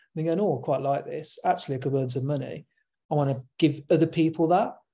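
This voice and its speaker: A man with a fairly high voice speaks at a fairly quick pace, his tone dark and mellow, somewhat breathy, with fairly even intonation over a quiet background. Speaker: podcast co-host. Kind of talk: casual chat. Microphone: good sound.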